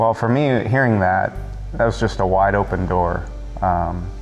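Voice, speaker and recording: Faint music plays in the background as a man speaks at a fairly low pitch and moderate pace. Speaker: interviewee. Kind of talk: interview answer. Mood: earnest, reflective. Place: church.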